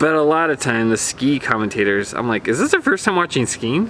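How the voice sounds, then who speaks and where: Over light background noise, a man with a fairly high pitch speaks at a fairly quick pace with lively intonation. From Vermont, US (East Burke); Vermont. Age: 30s. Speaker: YouTuber reacting to ski racing footage. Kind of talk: casual reaction commentary. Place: garden.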